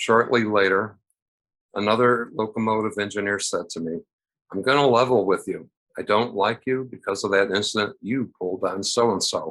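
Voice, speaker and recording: Against a quiet background, a man speaks at medium pitch and a moderate pace. He has an unremarkable speaking voice with fairly even intonation. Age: 60s. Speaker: retired railroad worker, storyteller. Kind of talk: personal story reading.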